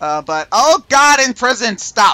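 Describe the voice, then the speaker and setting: Raised and projected, the voice has a bright, sharp tone and lively intonation, with a dry, close sound and no echo. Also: man. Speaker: video game streamer. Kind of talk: casual chat. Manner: halting, many fillers.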